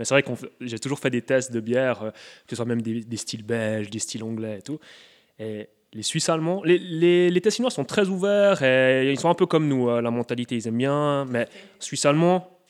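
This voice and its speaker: A man has an ordinary speaking voice at medium pitch, talking at a moderate pace with lively intonation. The recording is very clean, with a silent background. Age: 30s. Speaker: brewer. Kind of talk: interview.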